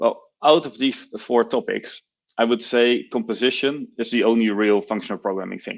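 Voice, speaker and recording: Against a quiet background, a man with a Dutch accent talks at a moderate pace in a medium pitch. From Netherlands. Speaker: software engineer and conference speaker. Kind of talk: conference talk.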